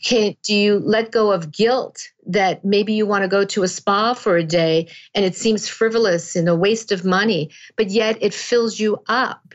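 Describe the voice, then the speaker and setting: An unremarkable speaking voice from a woman, medium in pitch, with fairly even intonation, very even loudness and a fairly slow pace. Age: 60s. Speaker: author and wellness coach. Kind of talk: interview.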